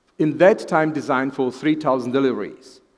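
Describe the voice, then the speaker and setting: A man talks with a Czech accent. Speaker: professor of fetal medicine. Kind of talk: lecture.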